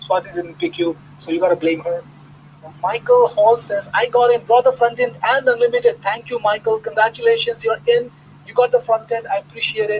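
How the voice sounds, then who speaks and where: Over noticeable background noise, a man with a non-native accent speaks at an extremely high pitch with ordinary pitch variation. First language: not English. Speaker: internet marketer hosting product launch webinar. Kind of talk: live webinar sales pitch with Q&A. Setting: live online webinar call. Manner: animated, conversational with hesitations.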